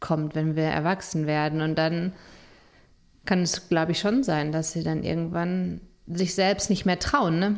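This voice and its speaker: A woman's plain, everyday voice, at a fairly slow pace with fairly even intonation, on a very clean recording with a silent background. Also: fairly low pitch for a woman. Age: 40s. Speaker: family counselor and podcast co-host. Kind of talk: casual chat.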